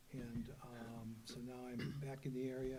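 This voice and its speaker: A man at a medium pitch speaks with monotone, flat intonation, and audible room echo surrounds his voice. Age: 70s. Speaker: rock musician, panelist. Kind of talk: panel discussion.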